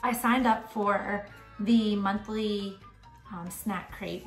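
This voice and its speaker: Faint music plays in the background. The room echo is audible. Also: woman. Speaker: parent vlogger. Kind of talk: casual vlog chat. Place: home room. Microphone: phone near.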